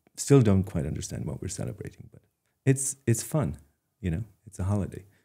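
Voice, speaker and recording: In an Irish accent, the speaker moves at a fairly quick pace with a dark, mellow tone, on a very clean recording with a silent background. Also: man. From Ireland, Dingle, County Kerry. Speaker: artist. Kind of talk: interview. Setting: studio. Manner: hesitant, many fillers and repeats.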